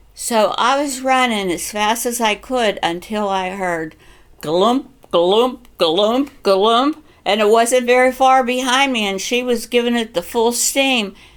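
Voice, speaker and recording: A woman speaks very slowly with a western Pennsylvania accent. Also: fairly high pitch for a woman, ordinary pitch variation. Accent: western Pennsylvania American English. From western Pennsylvania, USA. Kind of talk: personal storytelling, family memories.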